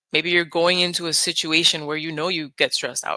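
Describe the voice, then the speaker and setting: A woman with a Spanish accent and very deep, low pitch, her tone calm and soothing yet bright and sharp, with fairly even intonation and a dry, close sound without echo. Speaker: nurse and hypnotist. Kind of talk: casual interview. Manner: calm, soothing.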